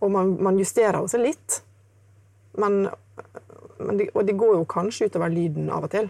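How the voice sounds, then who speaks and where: A woman at medium pitch speaks at a moderate pace, broken by long, frequent pauses. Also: ordinary pitch variation. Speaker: jazz guitarist. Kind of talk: casual interview.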